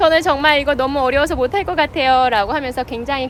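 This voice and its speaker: Music plays behind a woman as she talks. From South Korea. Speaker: real estate agent. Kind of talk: personal vlog narration. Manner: casual, conversational.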